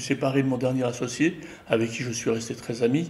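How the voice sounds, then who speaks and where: A man's medium-pitched voice at a moderate pace, monotone and flat, with audible room echo. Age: 60s. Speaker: retired graphic designer and filmmaker. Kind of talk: interview. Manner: hesitant, many fillers.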